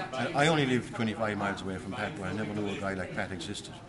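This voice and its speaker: Over noticeable background noise and audible room echo, a man talks at a very fast pace with a fairly low pitch and lively intonation. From Ireland. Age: 60s. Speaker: seminar attendee. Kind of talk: interview. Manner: hesitant.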